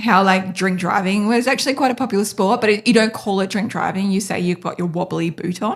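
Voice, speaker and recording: Somewhat breathy, a woman talks at a very fast pace with hardly any pauses, in an Australian accent. Her pitch sits at medium with ordinary variation. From North Queensland, Australia. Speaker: podcast host, business owner. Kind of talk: casual interview chat. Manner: hesitant, many fillers.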